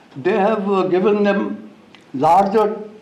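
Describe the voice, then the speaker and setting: Audible room echo fills the space. This is a man talking. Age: 90s. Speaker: former diplomat. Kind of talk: formal speech. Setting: stage with audience. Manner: halting.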